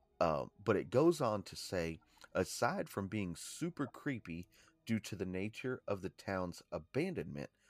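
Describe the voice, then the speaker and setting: Music plays in the background as a man talks at a fairly slow pace. His voice is fairly low with lively intonation, and the sound is dry and close with no echo. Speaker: podcast co-host. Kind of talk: informative podcast narration reading history.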